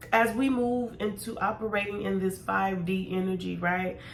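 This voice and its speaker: Speaking fairly slowly at a medium pitch, a woman is heard with audible room echo. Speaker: tarot reader. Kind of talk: casual chat. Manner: mumbling.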